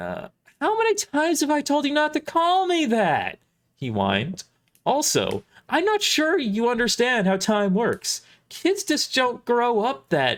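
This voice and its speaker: A man puts on a character voice that is whiny and extremely high in pitch. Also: moderate pace. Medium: audio drama. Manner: whiny, casual.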